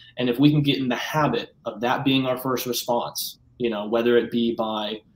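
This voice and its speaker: A man talks at a fairly quick pace and medium pitch. Light background noise and audible room echo are present. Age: 20s. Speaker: actor and online pastor; interview guest. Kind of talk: testimony; interview answer. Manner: halting, many fillers. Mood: sincere, reflective. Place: home room.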